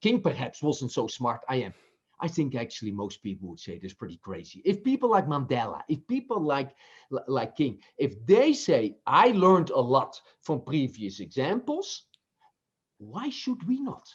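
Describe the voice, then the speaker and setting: Vocal fry from a man with a Dutch accent, fairly high-pitched, with very wide pitch swings. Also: moderate pace. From Netherlands. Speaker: business professor and author. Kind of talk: interview. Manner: halting, with repetitions.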